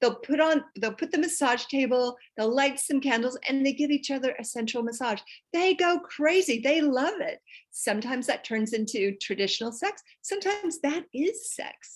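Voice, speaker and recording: Pitched high, a woman's voice carries lively intonation and an animated tone. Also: moderate pace. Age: 60s. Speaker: sex and intimacy coach. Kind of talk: podcast interview.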